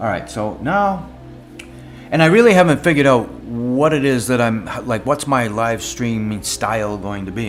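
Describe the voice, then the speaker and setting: A man at a moderate pace, his intonation lively, with music playing in the background. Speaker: live-streaming digital artist. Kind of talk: casual live stream chat. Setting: live stream at home desk. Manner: halting, many fillers and repeats.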